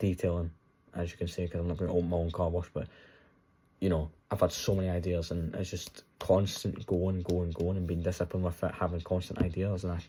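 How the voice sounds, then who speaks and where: Very fast and somewhat breathy, a man speaks with a Scottish accent in a very deep, low pitch and a dark, mellow tone. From Scotland. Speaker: trading content creator. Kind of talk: casual vlog monologue. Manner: animated.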